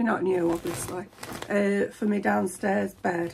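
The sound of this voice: A woman speaks at a fairly slow pace and medium pitch, her intonation fairly even. Her slightly mellow tone carries a husky, rough edge and some vocal fry.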